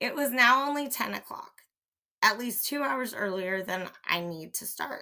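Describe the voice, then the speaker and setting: A woman uses a raspy, put-on character voice. Her pace is moderate. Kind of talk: period mystery reading. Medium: read story.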